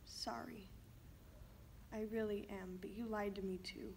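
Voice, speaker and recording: Against light background noise, a woman speaks at a medium pitch with fairly even intonation. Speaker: actor performing a monologue. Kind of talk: acting out a tense family argument, scripted dramatic monologue. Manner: angry, accusatory, raised and cutting. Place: studio.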